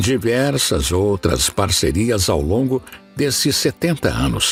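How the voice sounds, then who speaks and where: A man's fairly low voice at a fairly slow pace, with very wide pitch swings and music in the background. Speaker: documentary narrator. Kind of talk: documentary narration.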